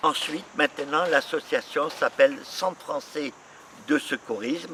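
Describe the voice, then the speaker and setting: Noticeable background noise sits behind a man with a fairly high pitch, who speaks at a fairly slow pace with lively intonation. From Algeria. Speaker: association treasurer. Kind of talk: interview.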